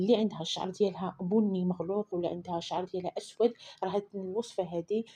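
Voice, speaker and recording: The tone is dark and mellow, and the intonation stays fairly even. The pace is moderate. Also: woman. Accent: Moroccan. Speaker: beauty recipe vlogger. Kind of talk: tutorial. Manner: casual, repetitive.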